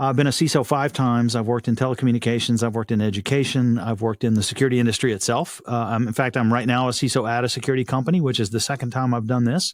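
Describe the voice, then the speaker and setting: Speaking at a very fast pace with hardly any pauses, a man with a slight Texan accent keeps a medium pitch, very even loudness and fairly even intonation on a very clean recording with a silent background. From Texas. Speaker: cybersecurity executive and podcast host. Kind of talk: podcast interview.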